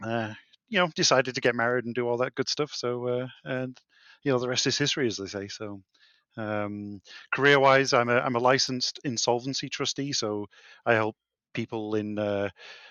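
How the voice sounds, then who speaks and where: A man's medium-pitched voice in a British accent, at a moderate pace with ordinary pitch variation. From UK. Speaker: insolvency trustee, board gamer. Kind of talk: casual chat.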